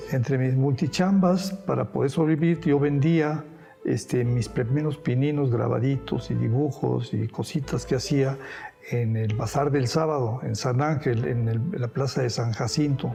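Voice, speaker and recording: Against background music, a man speaks at a fairly slow pace with very even loudness. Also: medium pitch for a man, ordinary pitch variation. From Spain, raised in Mexico. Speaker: painter. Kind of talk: interview answer.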